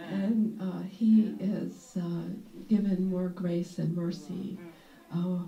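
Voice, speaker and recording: Noticeable background noise and audible room echo accompany this recording. A woman speaks at a fairly low pitch and a very slow pace. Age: 60s. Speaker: retired nurse. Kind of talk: casual group discussion. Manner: halting, many fillers.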